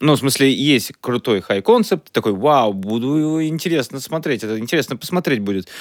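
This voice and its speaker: A man speaks at a medium pitch in a plain, everyday voice, with hardly any pauses. The recording is very clean, with a silent background. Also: lively intonation, moderate pace. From Russia, Chelyabinsk. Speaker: podcast co-host, comedian and writer. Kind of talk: casual chat.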